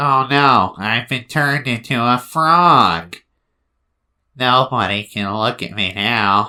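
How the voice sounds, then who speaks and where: Putting on a character voice, a man speaks at a fairly slow pace in a nasal tone at medium pitch. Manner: dramatic, woeful.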